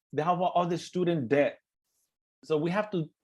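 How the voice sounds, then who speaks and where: A high-pitched male voice with an East LA accent. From East Los Angeles. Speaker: webinar moderator. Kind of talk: panel webinar closing remarks. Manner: halting, many fillers and repeats.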